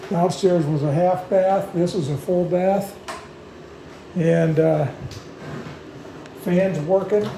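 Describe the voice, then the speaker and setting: A man's high-pitched voice at a very slow pace with fairly even intonation, with noticeable background noise and audible room echo. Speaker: real estate walkthrough guide. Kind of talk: property tour video. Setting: indoors, walking through a house. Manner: hesitant, many fillers.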